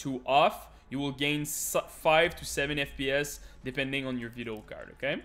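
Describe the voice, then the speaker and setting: A fairly high male voice in a French accent, at a fairly slow pace, with music in the background. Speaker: gaming youtuber. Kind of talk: tutorial. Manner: halting.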